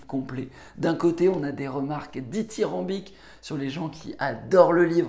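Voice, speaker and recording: A man talks at a fairly slow pace with vocal fry. Audible room echo surrounds his voice. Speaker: book summary youtuber. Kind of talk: book review monologue. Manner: hesitant, many filler words.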